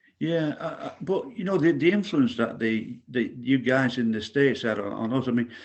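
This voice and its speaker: With an English accent, a man talks at a medium pitch with lively intonation and hardly any pauses. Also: moderate pace. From England, Manchester area. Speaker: singer-songwriter. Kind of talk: casual chat.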